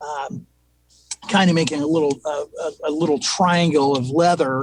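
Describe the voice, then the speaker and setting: In a normal speaking voice, a man talks at a moderate pace with a fairly high pitch and fairly even intonation. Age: 60s. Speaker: agronomist. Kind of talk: casual interview.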